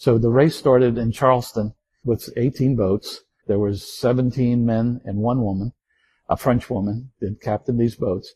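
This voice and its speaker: A somewhat breathy male voice of medium pitch, fairly even in intonation, at a moderate pace, with a dry, close sound and no echo. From Baltimore, US Mid-Atlantic. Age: 70s. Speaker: retired navy officer, war veteran. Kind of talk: interview, personal reminiscence. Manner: relaxed, conversational.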